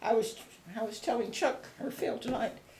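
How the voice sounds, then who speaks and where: There is audible room echo and noticeable background noise. Through it, a woman speaks at a medium pitch. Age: 80s+. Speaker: elderly interviewee, oral history. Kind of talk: oral history interview. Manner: halting.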